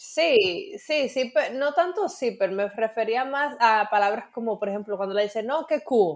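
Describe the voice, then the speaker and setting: Speaking fairly slowly in a Dominican accent, a woman with a fairly high pitch makes very wide pitch swings. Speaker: podcast co-host. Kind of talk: casual chat.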